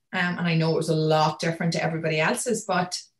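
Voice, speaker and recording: A woman speaks at a very fast pace, her pitch fairly low and her intonation fairly even. Her voice is somewhat breathy. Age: 30s. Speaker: entrepreneur and speaker. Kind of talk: casual interview. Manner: fast talker.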